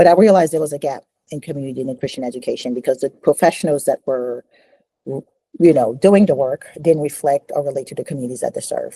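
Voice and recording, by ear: A woman talks at a fairly quick pace with an extremely low pitch, ordinary pitch variation and a slightly husky edge. Her tone is dark and mellow, and the sound is dry and close with no echo.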